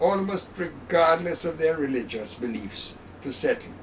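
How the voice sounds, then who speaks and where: Over noticeable background noise and audible room echo, a man with a fairly high voice speaks fairly slowly with lively intonation. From Jamaica. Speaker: honorary consul and local historian. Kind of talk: lecture. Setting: public talk. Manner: formal.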